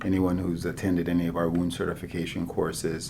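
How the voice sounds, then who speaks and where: Speech comes at a fairly quick pace. Audible room echo surrounds it. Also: man. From Nigeria, raised in US. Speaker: physician, chief medical officer. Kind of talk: casual interview chat.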